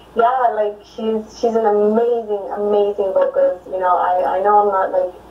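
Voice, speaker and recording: Noticeable background noise runs under a woman's voice. She speaks at a moderate pace with fairly even intonation. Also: medium pitch for a woman. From Mexico, raised in Arizona. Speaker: Tejano singer. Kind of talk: casual interview chat. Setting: live video stream.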